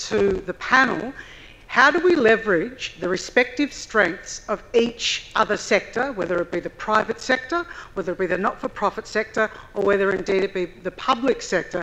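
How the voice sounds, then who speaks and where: A woman with an Australian accent speaks at a moderate pace in a fairly high voice with lively intonation. Noticeable background noise runs underneath. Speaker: public servant, audience questioner. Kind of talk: audience question. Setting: conference hall, microphone. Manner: loud.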